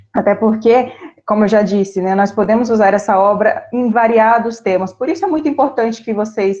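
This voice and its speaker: A woman speaks with an ordinary speaking voice. Her pitch is fairly high, with ordinary pitch variation. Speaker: teacher. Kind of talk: online class livestream. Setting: livestream.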